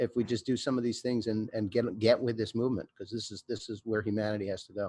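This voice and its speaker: Dry and close with no echo, a normal speaking voice moves at a fairly quick pace. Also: man. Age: 50s. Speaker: record label owner. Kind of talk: panel discussion.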